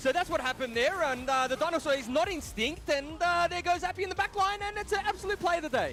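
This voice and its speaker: Speaking with an Australian accent at a very fast pace, the voice has lively intonation and hardly any pauses. Noticeable background noise runs underneath. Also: man, extremely high pitch for a man. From Australia, Western Suburbs. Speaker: play-by-play esports caster. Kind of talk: live esports commentary.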